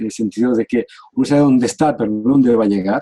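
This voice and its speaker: Talking at a very fast pace, a man has a medium pitch and a dark, mellow tone. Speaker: coach, academic director. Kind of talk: casual chat.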